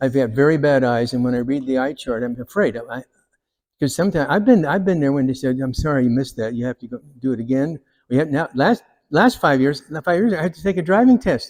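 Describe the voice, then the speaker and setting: A fairly high-pitched man talks at a very fast pace. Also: ordinary pitch variation, very clean recording, silent background. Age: 70s. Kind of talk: public talk. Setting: hall with live audience. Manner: halting.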